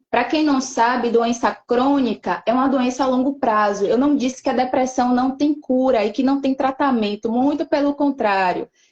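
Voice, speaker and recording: A woman's high voice moves along somewhat slowly, its pitch rising and falling in an ordinary way. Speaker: psychoanalyst giving a talk on depression. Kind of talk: educational talk in a church live stream. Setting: online live stream.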